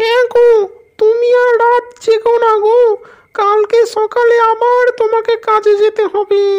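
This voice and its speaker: In a cartoonish character voice pitched extremely high, a woman talks flatly in a monotone at a fairly slow pace. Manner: gentle, caring.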